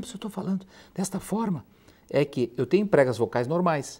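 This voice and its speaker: In a put-on character voice, the speaker sounds hoarse, with a middle pitch and a moderate pace. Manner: strained voice use.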